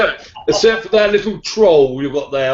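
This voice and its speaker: Very fast speech over noticeable background noise. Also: man. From England, Suffolk. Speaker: motorcycle vlogger. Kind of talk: casual chat. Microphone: laptop mic.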